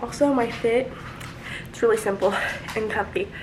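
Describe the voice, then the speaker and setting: Audible room echo and noticeable background noise surround a woman with a fairly high pitch. She speaks quietly at a moderate pace. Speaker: lifestyle vlogger. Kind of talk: casual vlog. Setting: in a car.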